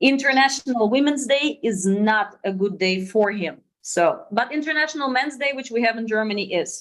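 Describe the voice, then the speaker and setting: A woman with a Russian accent, fairly high in pitch, at a moderate pace with lively intonation and hardly any pauses. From Russia, near China border. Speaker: sourcing company co-founder. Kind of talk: webinar presentation.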